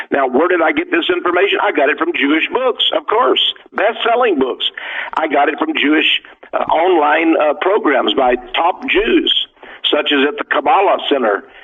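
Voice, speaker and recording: At a moderate pace and very even loudness, a man speaks over noticeable background noise. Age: 70s. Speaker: author and radio guest. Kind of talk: radio interview. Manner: halting.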